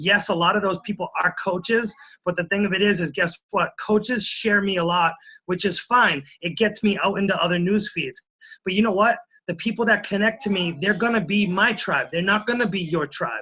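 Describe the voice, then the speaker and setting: A man speaks in a raised, projected voice with a high pitch and a bright, sharp tone. His pace is moderate and his pitch varies in an ordinary way. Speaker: fitness coach. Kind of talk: motivational talk. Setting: conference call.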